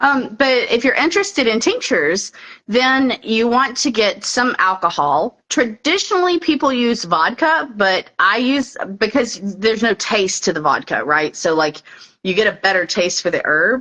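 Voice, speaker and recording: A woman's fairly high voice with very wide pitch swings. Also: moderate pace, very even loudness. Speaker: herbalist. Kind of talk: casual chat. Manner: casual, filler-heavy.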